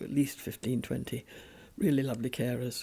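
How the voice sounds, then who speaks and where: This woman's voice is very deep and low, with a dark, mellow tone and vocal fry. She speaks at a moderate pace with ordinary pitch variation. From England. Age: 90s. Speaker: interviewee. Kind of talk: interview.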